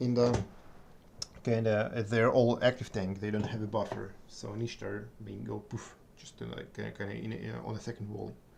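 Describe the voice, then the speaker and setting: Fairly low-pitched man at a fairly quick pace, fairly even in intonation but with big swings in loudness and noticeable background noise. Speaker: gaming streamer. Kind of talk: live gameplay commentary. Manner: halting.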